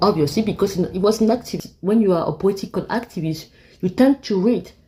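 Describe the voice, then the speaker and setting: This woman's medium-pitched voice is somewhat breathy with a dark, mellow tone, moving at a fairly quick pace with ordinary pitch variation. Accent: French. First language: French. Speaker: YouTuber. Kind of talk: casual monologue commentary. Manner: halting.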